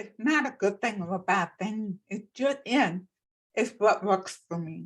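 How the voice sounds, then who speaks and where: A somewhat breathy voice with an American accent, fairly slow pace and ordinary pitch variation. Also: woman, medium pitch for a woman. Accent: deaf. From Texas, Plano. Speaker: accessibility consultant and speaker. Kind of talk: panel discussion.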